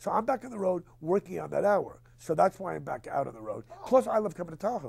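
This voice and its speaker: A man at a very fast pace with big swings in loudness, over noticeable background noise. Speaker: stand-up comedian. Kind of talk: casual interview talk. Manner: rapid-fire, fast-talking.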